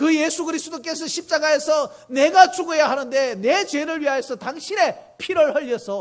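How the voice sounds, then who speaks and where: The pitch moves in an ordinary way. The delivery comes at a fairly slow pace. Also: man. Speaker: pastor. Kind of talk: sermon. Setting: church.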